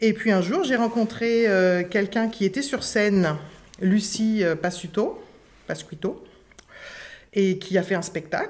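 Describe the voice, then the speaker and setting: Very slow and broken by long, frequent pauses, a woman's medium-pitched voice keeps very even loudness and ordinary pitch variation. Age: 50s. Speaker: school education assistant and clown student. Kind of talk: interview before live audience. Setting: recorded with live audience.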